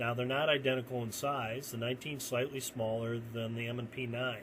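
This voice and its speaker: At a moderate pace, a man speaks in a plain, everyday voice at a medium pitch. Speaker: gun reviewer. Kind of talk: product comparison video. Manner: casual, conversational.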